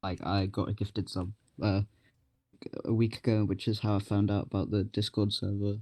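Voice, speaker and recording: A man's fairly low, dark, mellow voice in an English accent, at a moderate pace, dry and close with no echo. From England. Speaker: stream viewer. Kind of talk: casual chat.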